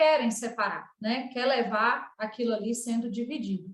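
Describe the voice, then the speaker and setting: Speaking at a fairly slow pace, the voice carries a strong northeastern Minas Gerais accent. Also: woman. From northeastern Minas Gerais, Brazil, near Bahia border. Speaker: cooperative relationship supervisor, panelist. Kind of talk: online panel talk, personal case presentation. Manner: conversational with frequent fillers.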